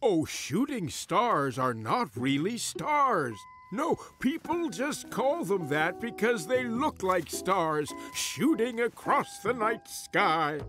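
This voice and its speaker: A cartoonish character voice at a middle pitch swings very widely up and down while speaking at a very slow pace over clear background music. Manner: patient, explanatory, drowsy.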